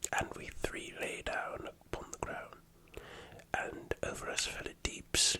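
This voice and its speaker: The speaker whispers at a very slow pace. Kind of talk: ASMR role-play storytelling.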